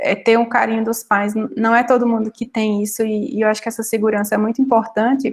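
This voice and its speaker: A woman speaks at a moderate pace in a fairly high, somewhat breathy voice with monotone, flat intonation. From Brazilian Northeast. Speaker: data analyst. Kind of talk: panel talk.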